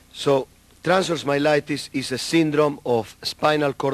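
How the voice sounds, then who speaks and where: A man with a South American Spanish accent talks at a very slow pace in a fairly high pitch. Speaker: neurologist. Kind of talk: lecture. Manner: halting.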